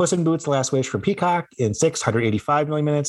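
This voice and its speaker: A man's speech shows ordinary pitch variation, with noticeable background noise behind it. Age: 40s. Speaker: content creator and gamer, podcast co-host. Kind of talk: casual chat.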